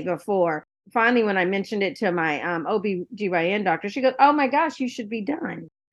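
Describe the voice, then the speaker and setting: A woman's ordinary speaking voice, with lively intonation and a fairly quick pace. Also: quiet background. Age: 60s. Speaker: cancer survivor and patient advocate. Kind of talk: panel discussion.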